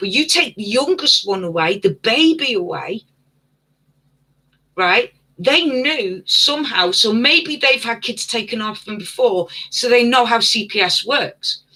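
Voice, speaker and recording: Delivered with a British accent, the speech unfolds at a fairly slow pace. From UK. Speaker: livestream host. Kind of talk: casual livestream chat. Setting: live stream. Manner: stuttering at times.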